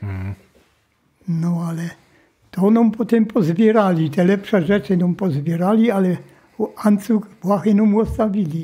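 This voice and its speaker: Against a quiet background, a man talks at a very slow pace in a dark, mellow tone. His pitch is high, with ordinary variation. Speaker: World War II survivor, former forced labourer in a mine. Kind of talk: interview answer. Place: home room.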